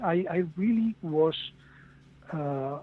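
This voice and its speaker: A man's fairly high-pitched voice with a Castilian accent. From Spain. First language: Spanish. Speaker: author. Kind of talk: podcast interview. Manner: halting, with repeated words.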